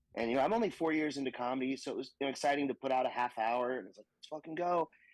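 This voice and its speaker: In an American accent, a man talks at a very fast pace. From North Texas. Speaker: stand-up comedian. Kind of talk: casual chat. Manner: animated.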